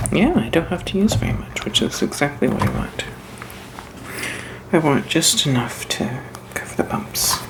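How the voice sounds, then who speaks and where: The voice has a relaxed tone, with noticeable background noise behind it. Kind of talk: soft-spoken crafting ASMR narration to camera. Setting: home crafting video, close mic. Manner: soft-spoken, relaxed, casual.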